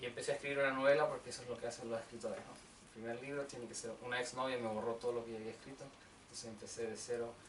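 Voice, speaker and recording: Noticeable background noise and audible room echo surround a man who speaks very fast in a flat, monotone delivery at a medium pitch. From Chile, Santiago. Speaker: novelist. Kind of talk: book presentation talk. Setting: bookshop event with audience.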